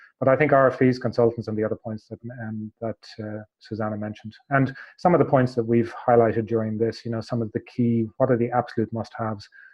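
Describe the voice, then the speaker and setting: Speaking at a very fast pace, a man keeps a medium pitch and monotone, flat intonation while his loudness swings widely. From Ireland. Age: 40s. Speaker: hotel tech company executive. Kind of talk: webinar panel discussion. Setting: online webinar. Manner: halting, many fillers.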